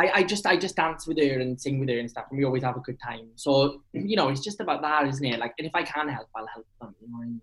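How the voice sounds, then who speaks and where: The speaker has a Welsh accent and lively intonation. Talking very fast, they leave hardly any pauses. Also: man, fairly high pitch for a man. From Wales. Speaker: actor. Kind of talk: casual chat. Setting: video call. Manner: animated.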